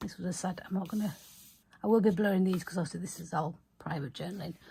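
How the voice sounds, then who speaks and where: Mumbling at a very fast pace, a woman speaks in a fairly low, dark, mellow voice that is somewhat breathy, with ordinary pitch variation. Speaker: small business owner, journaling vlogger. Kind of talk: casual video chat, journal flip-through.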